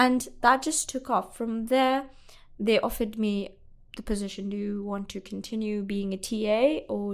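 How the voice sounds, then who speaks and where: On a very clean recording with a silent background, a woman with a Pakistani accent speaks at a medium pitch and a moderate pace, her intonation fairly even. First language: Urdu. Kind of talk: interview.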